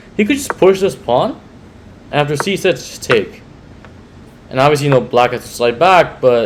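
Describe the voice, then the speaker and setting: A man with lively intonation speaks at a moderate pace over noticeable background noise. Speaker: chess commentator. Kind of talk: chess game commentary. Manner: hesitant, some stuttering.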